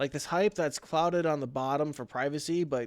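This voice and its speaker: An unremarkable speaking voice from a man, fairly high in pitch, with ordinary pitch variation and a moderate pace on a very clean recording with a silent background. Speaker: story reader, twitch streamer. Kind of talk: horror story reading on a livestream.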